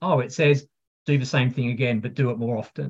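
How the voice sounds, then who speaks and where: The voice belongs to a man. It has a somewhat breathy quality. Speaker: pharma technology executive. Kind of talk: interview conversation. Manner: energetic.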